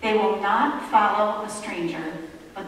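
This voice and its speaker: Strong room echo and light background noise surround a woman speaking at a fairly slow pace. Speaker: pastor. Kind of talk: sermon. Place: church.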